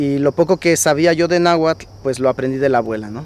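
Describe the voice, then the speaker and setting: A man talks in a plain, everyday voice at a fairly high pitch. His pace is fairly quick and his intonation fairly even. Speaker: priest. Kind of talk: testimony.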